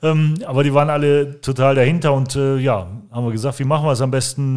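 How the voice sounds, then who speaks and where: A man talks at a moderate pace in an ordinary speaking voice. The recording is very clean, with a silent background. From Germany, Langenberg (Westphalia). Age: 40s. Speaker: cultural association organizer. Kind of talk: interview. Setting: on location.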